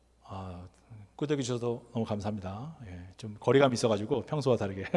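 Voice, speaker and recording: Somewhat breathy and at a fairly quick pace, a man talks at medium pitch with ordinary pitch variation and big swings in loudness. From Korea. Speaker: NGO worker and lecturer. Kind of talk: lecture. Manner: conversational.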